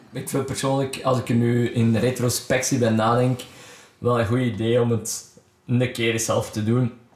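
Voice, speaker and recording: In a Flemish accent, a man at a medium pitch talks in a monotone with flat intonation. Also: fairly slow pace. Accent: Flemish Dutch. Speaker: podcast host and musician. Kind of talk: casual interview. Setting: guest's home studio.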